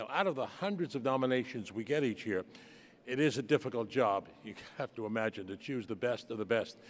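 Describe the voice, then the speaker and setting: With a New York accent, a man of medium pitch speaks at a fairly quick pace. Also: ordinary pitch variation. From US, New York (Bronx). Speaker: ceremony host. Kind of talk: ceremony hosting. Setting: gala hall with audience.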